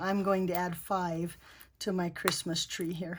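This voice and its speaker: This voice belongs to a woman. She delivers her words with monotone, flat intonation. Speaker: paper crafter. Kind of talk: craft tutorial talk to camera. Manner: casual, chatty.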